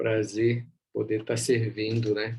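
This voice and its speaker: The speaker talks softly, with a somewhat breathy quality. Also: man. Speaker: bible teacher. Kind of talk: online bible class. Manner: soft-spoken.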